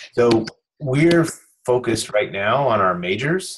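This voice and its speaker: Using ordinary pitch variation, a man talks at a fairly slow pace. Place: home room. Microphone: video call.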